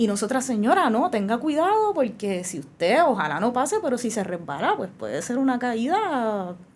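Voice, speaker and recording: A woman with a fairly high pitch speaks at a moderate pace, her pitch swinging very widely with hardly any pauses. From Puerto Rico, Bayamón. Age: 30s. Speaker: lawyer and legislative candidate. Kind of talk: interview.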